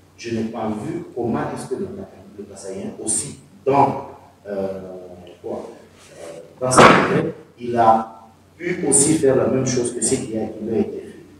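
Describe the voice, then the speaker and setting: Through loud background noise and audible room echo, a man speaks at a very slow pace with long, frequent pauses. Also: medium pitch for a man, ordinary pitch variation, big swings in loudness. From DR Congo, Kasai; DR Congo. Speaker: community speaker at diaspora meeting; speaker. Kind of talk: panel discussion. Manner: halting. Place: meeting room. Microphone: camera far.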